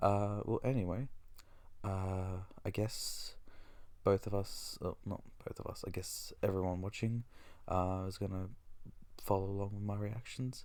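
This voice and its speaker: A quiet man talks at a fairly slow pace with long, frequent pauses. His voice is fairly low, with a dark, mellow tone and fairly even intonation. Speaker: gaming YouTuber. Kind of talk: live reaction commentary. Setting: at home, recording early morning.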